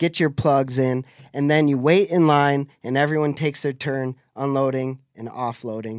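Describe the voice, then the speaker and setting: Fairly high for a man, this is a plain, everyday voice with fairly even intonation at a moderate pace. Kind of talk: casual chat.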